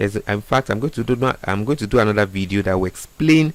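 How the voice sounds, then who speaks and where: This man talks very fast in a fairly low voice, with ordinary pitch variation. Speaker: trading educator. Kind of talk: tutorial.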